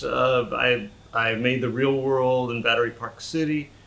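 A man with an American accent speaks fairly slowly with fairly even intonation, over noticeable background noise. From US Midwest, Wichita, Kansas. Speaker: sculptor. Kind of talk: casual explanation to camera. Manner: halting, with fillers and repeats.

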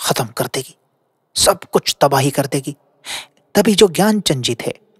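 Intonation is lively and the voice somewhat breathy. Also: man, dry, close sound with no echo. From Haryana, India. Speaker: storyteller. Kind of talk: narrated storytelling.

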